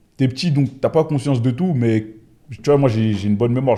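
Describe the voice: A man speaks at a fairly quick pace in a medium pitch, his tone dark and mellow, with ordinary pitch variation.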